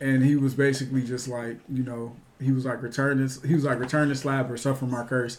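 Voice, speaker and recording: At a fairly quick pace, a man with a medium pitch speaks in monotone, flat intonation, with audible room echo around him. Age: 20s. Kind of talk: casual chat.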